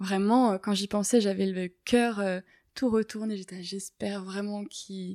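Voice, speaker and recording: A very slow, monotone woman's voice with flat intonation and a dark, mellow tone, dry and close with no echo, in a very clean recording over a silent background. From Paris, France. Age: 20s. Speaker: ecology student and dog owner. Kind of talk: interview. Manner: hesitant, with many fillers.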